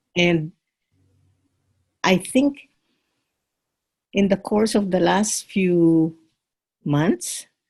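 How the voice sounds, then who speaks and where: A woman's medium-pitched, somewhat breathy voice at a very slow pace, with long, frequent pauses, ordinary pitch variation, and very even loudness. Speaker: course participant. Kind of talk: group discussion. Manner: halting, many fillers.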